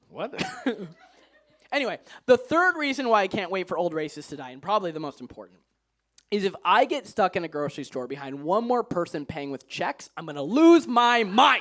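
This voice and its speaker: With very wide pitch swings, big swings in loudness and an animated tone, a man speaks at a high pitch. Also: fairly quick pace. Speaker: stand-up comedian. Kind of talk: stand-up. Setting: stage with audience.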